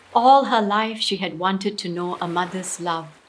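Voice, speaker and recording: A woman speaks with music in the background. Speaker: storyteller. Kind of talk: storytelling performance of a short story.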